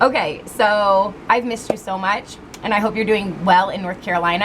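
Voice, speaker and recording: A woman's medium-pitched voice comes through over noticeable background noise. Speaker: tarot reader. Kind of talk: tarot reading. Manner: loud.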